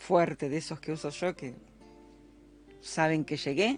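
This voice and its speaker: A woman is speaking. Her pace is fairly slow. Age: 60s. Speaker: religious teacher. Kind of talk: scripture study class.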